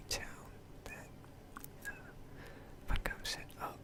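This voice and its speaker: Whispered words come through over noticeable background noise. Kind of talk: ASMR gaming commentary. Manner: rambling, hesitant.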